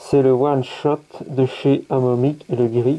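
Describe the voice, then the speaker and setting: Medium in pitch and dark, mellow in tone, a man's voice with flat, monotone intonation. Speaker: scale model hobbyist YouTuber. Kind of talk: product test tutorial. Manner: casual, hesitant with fillers.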